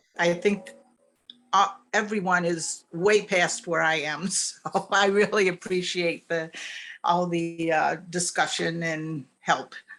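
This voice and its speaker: A woman with an American accent speaks at a very slow pace in a fairly low voice, her intonation fairly even. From New York State, US. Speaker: web designer. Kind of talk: self-introduction.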